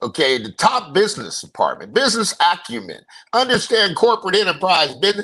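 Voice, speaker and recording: A man talks at a fairly quick pace in a raised, projected voice with a high pitch. His tone is bright, sharp and animated, with very wide pitch swings. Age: 60s. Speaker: podcast host. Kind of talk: casual chat.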